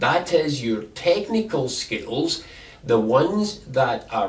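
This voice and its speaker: A man with a Scottish accent swings his pitch very widely, with audible room echo and noticeable background noise. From Scotland. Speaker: employment advisor. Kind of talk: instructional talk.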